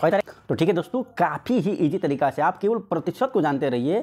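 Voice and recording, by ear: Speaking at a fairly quick pace with lively intonation, a man has a fairly high pitch, a slightly mellow tone and a slightly husky edge.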